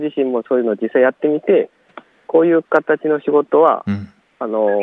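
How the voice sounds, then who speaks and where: A man talks at a moderate pace with ordinary pitch variation in a normal speaking voice. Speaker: work-creation organizer and part-time farmer. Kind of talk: interview. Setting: outdoors in a plum orchard.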